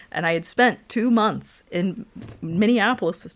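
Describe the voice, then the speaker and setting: A woman with an American accent talks at a moderate pace, with lively intonation and vocal fry. The recording is very clean, with a silent background. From US South, Georgia (Lawrenceville). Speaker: engineer. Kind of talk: interview conversation.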